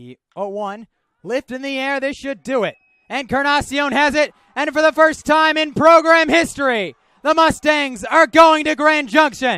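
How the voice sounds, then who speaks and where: Raised and projected, a man's bright, sharp voice at an extremely high pitch moves at a moderate pace with ordinary pitch variation and big swings in loudness, recorded dry and close without echo. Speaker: television play-by-play baseball announcer. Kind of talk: sports broadcast play-by-play commentary.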